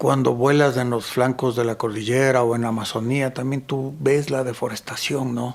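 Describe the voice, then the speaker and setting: A man with a plain, everyday voice talks at a moderate pace and medium pitch with fairly even intonation. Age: 60s. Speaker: photographer and mountain guide. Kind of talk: casual interview conversation.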